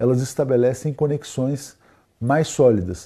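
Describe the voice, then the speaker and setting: Somewhat breathy and with a dark, mellow tone, a man speaks at a moderate pace and a fairly high pitch against a quiet background. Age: 50s. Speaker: international affairs expert. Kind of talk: interview discussion.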